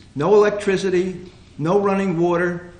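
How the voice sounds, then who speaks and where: A high-pitched man's voice in an American accent, with audible room echo. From New Jersey, Hope Lawn area. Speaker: panel guest sharing local history. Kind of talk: reminiscing talk to audience. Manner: halting, many fillers.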